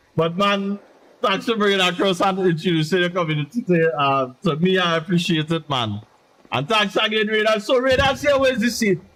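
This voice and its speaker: With a high pitch and a fairly quick pace, a man speaks in an animated tone with lively intonation while keeping his loudness very even. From Trinidad and Tobago. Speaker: game streamer. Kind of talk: live gaming stream chat. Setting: live stream.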